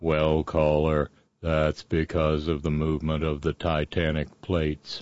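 A man uses a put-on character voice, very deep and low. He speaks fairly slowly in a monotone, flat intonation. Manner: flat monotone.

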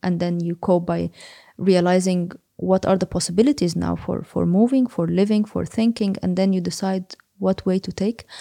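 Dry and close with no echo, a woman's voice has a dark, mellow tone at a medium pitch. She keeps a moderate pace and fairly even intonation. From Egypt, Cairo. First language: Arabic. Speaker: psychology researcher and lecturer. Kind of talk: interview. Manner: halting, many fillers.

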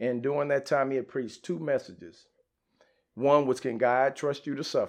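A man speaks in an ordinary speaking voice at a medium pitch and moderate pace, with ordinary pitch variation and a quiet background. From Dallas area, Texas. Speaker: church member sharing testimony, liver cancer survivor. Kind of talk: testimony.

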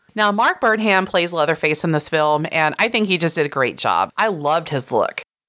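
In a Texan accent, the voice has a bright, sharp tone. It moves at a moderate pace with hardly any pauses. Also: woman, fairly low pitch for a woman, ordinary pitch variation. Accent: Texan American. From rural Texas. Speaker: podcast host, horror film critic. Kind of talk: casual chat.

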